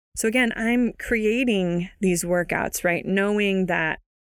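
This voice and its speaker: A woman talks in an ordinary speaking voice. Her pitch sits in the medium range with ordinary variation. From US West Coast, San Francisco Bay Area. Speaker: fitness trainer and podcast host. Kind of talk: solo podcast talk.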